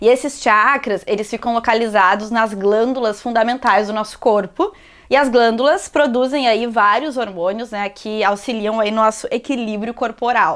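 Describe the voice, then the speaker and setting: A plain, everyday voice from a woman, fairly high in pitch, with fairly even intonation, a moderate pace and hardly any pauses. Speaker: yoga teacher. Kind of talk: yoga class instruction. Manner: casual, chatty.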